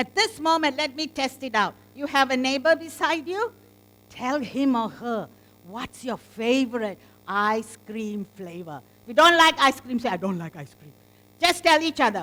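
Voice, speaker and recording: A woman's raised, projected voice rings out high and bright with a sharp tone, very wide pitch swings and big swings in loudness. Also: moderate pace. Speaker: teacher trainer, conference workshop presenter. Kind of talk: interactive workshop talk. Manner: loud, energetic.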